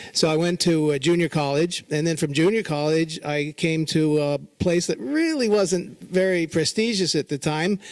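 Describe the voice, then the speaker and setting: A man with a Californian accent talks at a moderate pace and a fairly high pitch. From Southern California. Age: 60s. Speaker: fashion retailer. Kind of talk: lecture. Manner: casual, halting.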